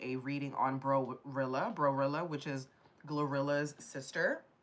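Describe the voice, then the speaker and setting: The woman's pitch sits very deep and low. She talks at a moderate pace. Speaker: tarot reader. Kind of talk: live tarot reading. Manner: casual, chatty.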